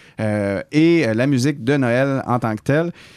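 The background is quiet. A male speaker's pitch varies in an ordinary way. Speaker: radio host. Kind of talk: casual chat. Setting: studio.

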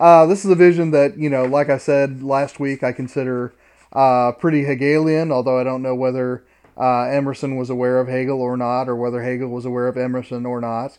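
Against a quiet background, a man with an ordinary speaking voice talks at a medium pitch with fairly even intonation. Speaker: professor and podcast co-host. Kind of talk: casual academic discussion. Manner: dry, joking, deadpan.

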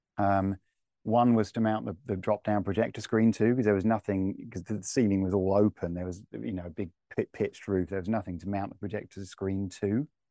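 In a southern English accent, a man with a dark, mellow tone speaks at a fairly low pitch and a fairly quick pace, his intonation fairly even. The sound is dry and close with no echo, against a quiet background. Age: 40s. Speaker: home technology integrator, company director. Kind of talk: casual interview.

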